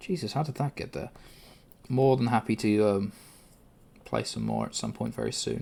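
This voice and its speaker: A man with a British accent speaks at a moderate pace, leaving long, frequent pauses. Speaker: livestreamer. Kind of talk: casual chat. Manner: loud at times.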